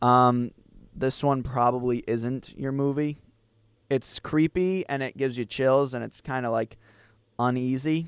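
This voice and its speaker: In a normal speaking voice with an American accent, a man talks at a fairly slow pace and a fairly high pitch, with a dry, close sound and no echo. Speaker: podcast host. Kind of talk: casual movie review chat.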